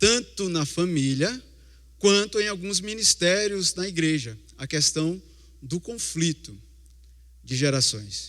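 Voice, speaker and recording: A man with a Recife accent, high-pitched and lively, very slow, with long, frequent pauses. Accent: Recife (Pernambuco). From Recife, Brazil. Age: 40s. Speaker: lay preacher. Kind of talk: sermon.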